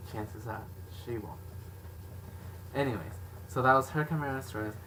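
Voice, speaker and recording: A man talks loudly at a fairly quick pace, his pitch fairly low. His tone is bright and sharp, with lively intonation. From Mexican background. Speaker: video blogger. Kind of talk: casual chat.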